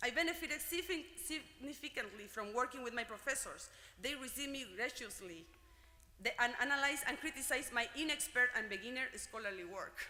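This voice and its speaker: A woman speaks very fast in a Spanish accent, her high voice raised and projected with lively intonation. Room echo is audible, and background noise is noticeable. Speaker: graduate student speaker. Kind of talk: commencement speech. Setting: gymnasium ceremony with audience.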